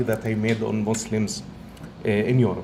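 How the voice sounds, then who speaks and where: Audible room echo around a man speaking at a moderate pace. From Egypt. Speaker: professor. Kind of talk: lecture.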